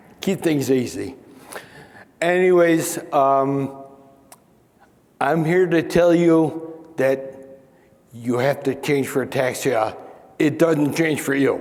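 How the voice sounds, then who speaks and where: The speaker talks at a very slow pace with an American accent, long, frequent pauses, fairly even intonation, and very even loudness. Noticeable background noise and audible room echo are present. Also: man, fairly high pitch for a man. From Chicago. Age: 60s. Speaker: ataxia advocate. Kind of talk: panel discussion. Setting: stage with audience.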